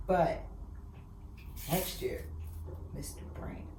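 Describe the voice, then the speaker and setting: Audible room echo surrounds a woman's voice. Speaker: podcast guest. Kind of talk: casual chat. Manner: loud.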